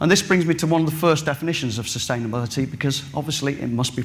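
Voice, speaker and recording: A man with an English Midlands accent at a very fast pace, ordinary pitch variation and audible room echo. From England, Derbyshire. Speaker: farmer and farming scholar. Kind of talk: conference presentation. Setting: stage with audience.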